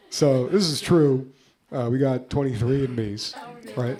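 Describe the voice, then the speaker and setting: The speech moves at a moderate pace with fairly even intonation. There is audible echo in the room. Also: man. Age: 30s. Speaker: comedian. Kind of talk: stand-up. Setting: stage with audience in small apartment.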